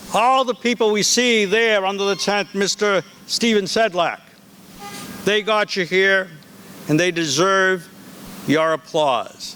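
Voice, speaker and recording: Speaking in a raised, projected voice with a high pitch and ordinary pitch variation, a man moves at a fairly slow pace with very even loudness and long, frequent pauses over noticeable background noise. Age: 70s. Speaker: school head. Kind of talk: commencement speech. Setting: outdoors with audience.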